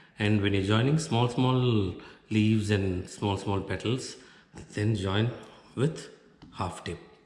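Over audible room echo, a man with a fairly low pitch speaks at a very slow pace with long, frequent pauses and ordinary pitch variation. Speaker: craft tutorial presenter; craft instructor. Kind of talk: tutorial. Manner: instructional, explaining step by step. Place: home room.

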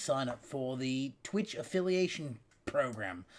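Very slow speech from a man. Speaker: gaming streamer. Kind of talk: casual video monologue. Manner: unscripted, rambling. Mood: calm, slightly apologetic. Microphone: webcam.

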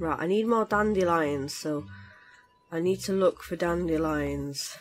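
A woman with a British accent and a fairly low pitch talks at a fairly slow pace with ordinary pitch variation, over noticeable background noise. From Britain. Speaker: gaming streamer. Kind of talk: casual gameplay commentary.

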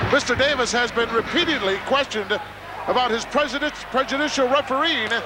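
There is noticeable background noise as a man with an extremely high voice speaks at a fairly quick pace, his pitch varying in an ordinary way and his loudness very even. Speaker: wrestling play-by-play commentator. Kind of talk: live wrestling commentary. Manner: excitable.

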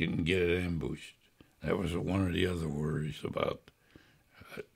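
A man's very deep, low voice with fairly even intonation at a moderate pace, over a quiet background. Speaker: World War II veteran. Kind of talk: oral history interview answer. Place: home room.

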